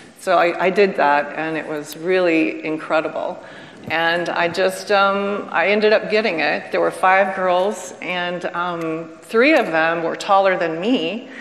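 Fairly slow delivery with audible room echo. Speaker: retired showgirl and dancer. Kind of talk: panel discussion, reminiscing. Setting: stage with live audience. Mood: warm reminiscing. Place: stage.

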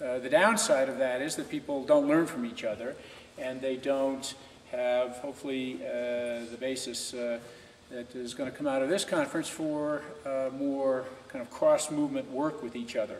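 A man's voice with fairly even intonation and audible room echo. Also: moderate pace. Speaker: conference panelist. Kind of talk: talk to a conference audience. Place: hall. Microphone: camera far.

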